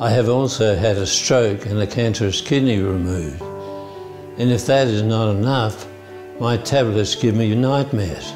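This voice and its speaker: Over clear background music, a man with an Australian accent speaks fairly slowly at a fairly low pitch with ordinary pitch variation. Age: 80s+. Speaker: Parkinson's patient. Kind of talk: testimonial to camera. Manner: clear, no longer slurred. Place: office. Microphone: lapel.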